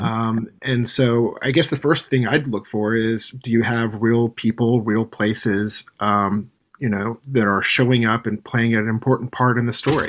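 The delivery has fairly even intonation at a fairly slow pace. It is a normal speaking voice. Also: man. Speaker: game publisher guest. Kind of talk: casual interview chat. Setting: video call from Tokyo.

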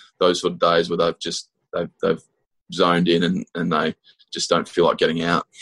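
A man with an Australian accent talks at a fairly quick pace. The sound is dry and close, with no echo. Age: 20s. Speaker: professional cricketer. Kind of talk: interview.

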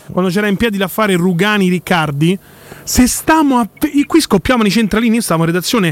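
There is noticeable background noise as a man with a high voice speaks at a fairly quick pace, the sound dry and close with no echo. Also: lively intonation. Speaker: radio co-host, football commentator. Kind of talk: casual chat, football talk show. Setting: radio studio.

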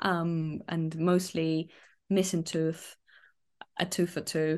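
A woman's voice at a fairly low pitch. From Donetsk, eastern Ukraine. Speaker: refugee and content creator. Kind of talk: interview.

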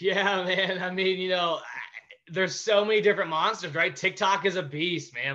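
A man at a high pitch and moderate pace. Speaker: business founder, former pro baseball player. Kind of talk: casual interview. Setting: video call. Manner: high-energy, excitable.

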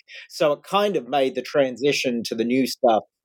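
In an Australian accent, a man with a medium pitch talks at a moderate pace with lively intonation, the sound dry and close with no echo. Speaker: history professor. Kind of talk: interview.

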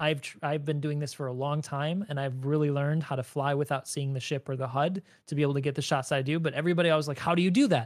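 A man with an American accent and a fairly high pitch, very fast with hardly any pauses, his intonation fairly even, on a very clean recording with a silent background. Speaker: Star Citizen YouTuber. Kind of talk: casual chat.

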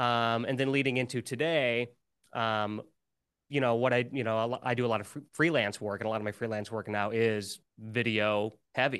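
Against a quiet background, a man with an American accent and a normal speaking voice talks at a moderate pace and medium pitch, with fairly even intonation. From US Midwest. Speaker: musician and YouTuber. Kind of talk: casual interview chat.

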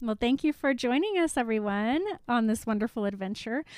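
A woman's voice, a plain, everyday voice, at a moderate pace with ordinary pitch variation. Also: dry, close sound with no echo. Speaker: podcast co-host. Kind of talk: casual chat.

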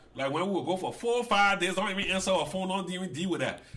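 Noticeable background noise behind a man talking. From Liberia. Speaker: father of the host giving advice. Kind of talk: casual family conversation. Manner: loud, forceful.

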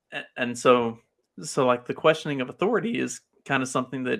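In an American accent, a man speaks at a fairly quick pace with ordinary pitch variation and medium pitch. His is an unremarkable speaking voice. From US South, Kentucky. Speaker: podcast host. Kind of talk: casual chat.

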